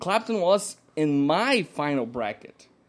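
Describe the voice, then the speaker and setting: This man speaks at a fairly high pitch, his voice swinging very widely up and down. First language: not English. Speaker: music podcast co-host. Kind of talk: casual chat. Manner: halting, frequent repetitions.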